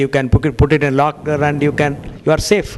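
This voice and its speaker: Over noticeable background noise, a man talks at a fairly quick pace with a fairly high pitch. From India. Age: 60s. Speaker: cardiologist. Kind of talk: lecture.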